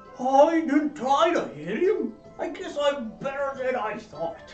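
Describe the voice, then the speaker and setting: A man does a put-on character voice at an extremely high pitch and a fairly slow pace. Clear music plays behind him, with a slight echo. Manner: defensive, sheepish.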